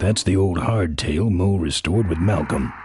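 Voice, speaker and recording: A man's put-on character voice, very deep and low, at a moderate pace over clear background noise. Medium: video game. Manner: terse, deadpan.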